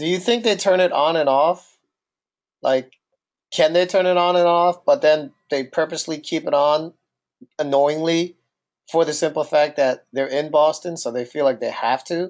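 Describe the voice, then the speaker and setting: A man with a New Jersey accent speaks in a fairly high pitch, leaving long, frequent pauses. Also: ordinary pitch variation, moderate pace. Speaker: podcast co-host. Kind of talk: casual chat.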